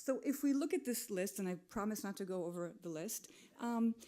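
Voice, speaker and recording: Her tone dark and mellow, a woman speaks at a medium pitch with lively intonation. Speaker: digital and retail expert. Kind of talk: conference talk. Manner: fast.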